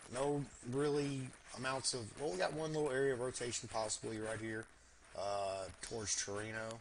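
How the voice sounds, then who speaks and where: A man talks with an American accent at a medium pitch. His pitch varies in an ordinary way. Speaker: storm chaser livestreamer. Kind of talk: live weather commentary. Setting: livestream. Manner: casual, filler-heavy; fast.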